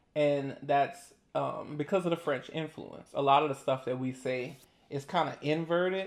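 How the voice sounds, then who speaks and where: In a New Orleans accent, a man speaks at a moderate pace with a fairly high pitch, an animated tone and ordinary pitch variation. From New Orleans, Louisiana. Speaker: YouTuber. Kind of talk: casual chat.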